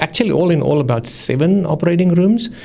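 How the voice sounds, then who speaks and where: Through noticeable background noise, a man with a fairly high pitch speaks with ordinary pitch variation. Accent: South African. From South Africa. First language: Afrikaans. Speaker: anesthesiologist. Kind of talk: interview. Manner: halting.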